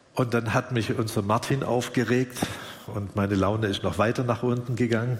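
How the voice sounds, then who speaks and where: A man at medium pitch, monotone and flat in intonation, against noticeable background noise. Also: moderate pace. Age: 60s. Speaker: pastor. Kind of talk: sermon. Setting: church service, livestreamed.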